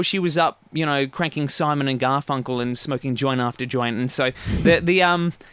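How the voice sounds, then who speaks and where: Speaking at a fairly quick pace, a man with an Australian accent has a bright, sharp tone. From Phillip Island, Victoria, Australia. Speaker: guitar teacher. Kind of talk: casual interview chat.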